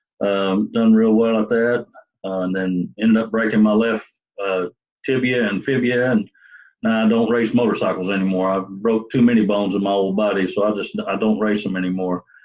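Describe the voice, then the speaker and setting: A man talks fairly quickly with a Southern US accent. His pitch is fairly low and his intonation monotone and flat. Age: 60s. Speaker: police sergeant. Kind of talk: self-introduction video. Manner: halting.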